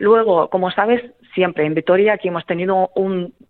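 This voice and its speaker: A woman with a Ukrainian accent, fairly even intonation, and a fairly slow pace. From central Ukraine, Kremenchuk. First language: Ukrainian (speaking Spanish). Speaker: singer and refugee helper. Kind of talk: radio interview. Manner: hesitant, many fillers.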